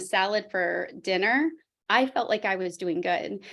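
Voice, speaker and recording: This is a plain, everyday voice with lively intonation at a moderate pace. The recording is very clean with a silent background. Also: woman. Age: 40s. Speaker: fitness trainer. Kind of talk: testimony.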